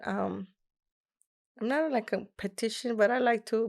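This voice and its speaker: The recording is very clean, with a silent background. A woman speaks in a Mexican accent. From Mexico, Nuevo Laredo. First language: Spanish. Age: young. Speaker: rapper. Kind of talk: casual interview.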